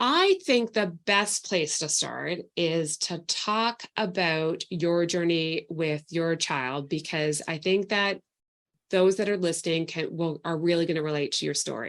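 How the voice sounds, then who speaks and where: A woman talks at a fairly slow pace in a fairly low pitch, with a slight Canadian accent. Her pitch varies in an ordinary way against a quiet background. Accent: slight Canadian twang. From Canada. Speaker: podcast host, nutritional therapy practitioner. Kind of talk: podcast interview.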